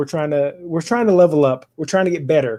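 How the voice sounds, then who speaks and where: A man speaks loudly at a fairly quick pace, his tone dark and mellow. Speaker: battle report content creator. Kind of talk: casual chat. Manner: animated.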